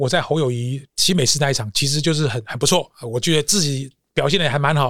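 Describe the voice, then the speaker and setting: This man has an ordinary speaking voice, pitched fairly high, with ordinary pitch variation. He talks at a fairly quick pace. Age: 50s. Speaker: corporate trainer. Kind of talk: interview.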